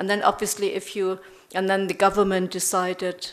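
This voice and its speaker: A woman with a German accent, medium pitch, fairly even intonation and a moderate pace. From Germany. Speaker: professor. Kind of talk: lecture.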